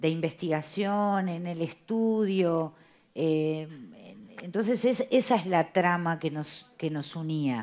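Very slow speech in a Uruguayan accent. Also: woman, fairly low pitch for a woman. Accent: Rioplatense Spanish (Uruguayan). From Uruguay, Montevideo. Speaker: playwright and theatre director; interviewee. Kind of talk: interview. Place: cafe. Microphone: headset.

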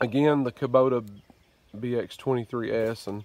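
A man is speaking at a fairly slow pace. His pitch is medium. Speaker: hobby farmer, tractor owner. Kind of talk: casual talk to camera. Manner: casual, hesitant, many fillers.

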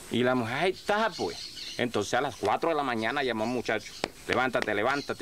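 Light background noise sits behind this recording. A man speaks at a very fast pace. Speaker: rural storyteller. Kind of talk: humorous folk storytelling. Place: farm machine.

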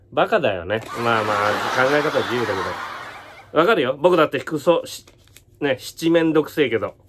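Over noticeable background noise, a man talks at a moderate pace with lively intonation. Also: fairly high pitch for a man. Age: 40s. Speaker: YouTuber and entertainer; YouTuber. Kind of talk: casual vlog monologue. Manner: casual, mumbling asides. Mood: wry, amused complaint. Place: home room. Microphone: phone near.

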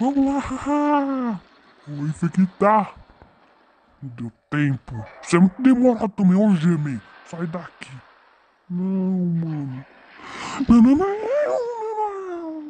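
Put on as a character voice, the delivery sits at a middle pitch but swings very widely. It moves at a very slow pace with long, frequent pauses. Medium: voice reel. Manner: slangy, comic.

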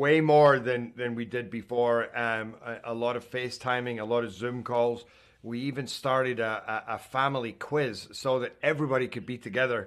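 In a Scottish accent, a man speaks at a moderate pace with fairly even intonation against a quiet background. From Scotland. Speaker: actor. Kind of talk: interview answer.

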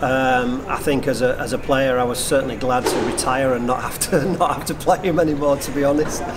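With hardly any pauses, a man talks at a fairly quick pace with fairly even intonation over noticeable background noise. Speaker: retired squash player, now commentator. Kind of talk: tribute interview. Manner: halting, many fillers. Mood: warm, reflective. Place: hall.

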